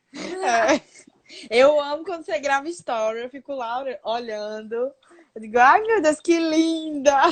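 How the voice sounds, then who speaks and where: Speaking in a Pernambuco accent, a woman with a high pitch talks at a fairly slow pace, with lively intonation, big swings in loudness, and long, frequent pauses. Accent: Pernambuco accent, noticed by others. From Pernambuco, Brazil. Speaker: interviewer. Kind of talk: casual interview. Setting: Instagram live video call.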